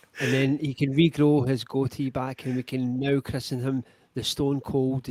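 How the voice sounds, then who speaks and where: Monotone, flat intonation at a fairly slow pace, in a dry, close sound with no echo and noticeable background noise. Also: man. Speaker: podcast host. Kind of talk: casual chat.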